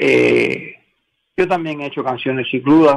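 This man has an unremarkable speaking voice at a fairly high pitch. He talks at a fairly slow pace. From Cuba. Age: 60s. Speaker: songwriter. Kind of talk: interview.

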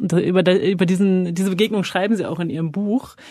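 The voice is somewhat breathy, with a dark, mellow tone. Its pace is very fast. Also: woman. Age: 30s. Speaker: journalist interviewer. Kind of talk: interview. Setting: podcast studio.

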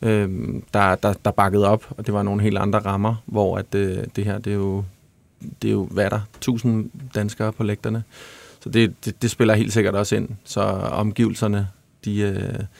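A man with a fairly low voice speaks at a fairly slow pace in a flat monotone, recorded very cleanly against a silent background with a dry, close sound and no echo. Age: 30s. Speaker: songwriter and musician. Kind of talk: casual chat.

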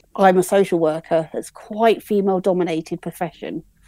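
Here a woman with an English accent has a dark, mellow tone and ordinary pitch variation. The recording is very clean and dry, close with no echo and a silent background. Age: 40s. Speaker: podcast listener. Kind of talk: casual interview.

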